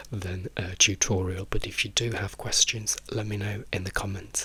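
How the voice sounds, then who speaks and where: Whispering in a British accent, a man speaks. His pace is fairly slow. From England. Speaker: drag queen and YouTuber. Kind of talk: casual chat. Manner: soft-spoken.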